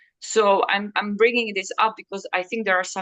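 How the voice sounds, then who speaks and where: This woman speaks with a Slovak accent at a medium pitch. Her tone is bright and sharp, and her intonation stays fairly even. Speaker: coach on emotional healing. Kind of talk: interview. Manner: halting, many fillers and restarts.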